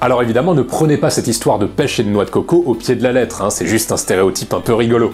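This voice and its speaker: Over noticeable background noise, a man rattles along at a very fast pace with hardly any pauses, keeping very even loudness and a medium pitch with ordinary variation. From France. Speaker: YouTube personal development essayist. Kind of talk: scripted video essay narration. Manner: casual, conversational.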